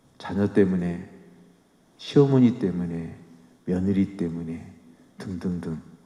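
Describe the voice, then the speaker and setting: A man's very deep, low voice with a dark, mellow tone, at a very slow pace with long, frequent pauses and audible room echo. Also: ordinary pitch variation. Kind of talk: sermon. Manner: conversational, with fillers.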